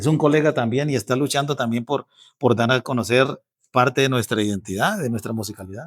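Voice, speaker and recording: A man with a llanero Colombian accent, medium pitch and ordinary pitch variation at a fairly quick pace, on a very clean recording with a silent background and a dry, close sound with no echo. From Casanare, Colombia. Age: 50s. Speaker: bandola player and music instructor. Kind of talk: interview answer.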